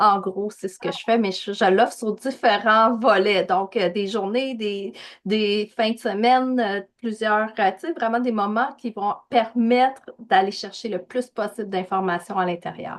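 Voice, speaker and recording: With a slight Québécois accent, a woman speaks in a fairly high pitch at a fairly slow pace with hardly any pauses. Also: fairly even intonation. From Quebec. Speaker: spiritual guide, podcast guest. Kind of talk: casual interview chat.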